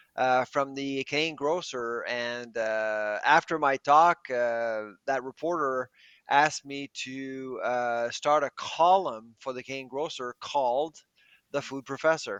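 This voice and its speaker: Fairly slow and medium in pitch, a man speaks in an unremarkable speaking voice. His intonation is fairly even, though his loudness swings widely. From Quebec, Canada. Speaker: professor. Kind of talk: podcast interview.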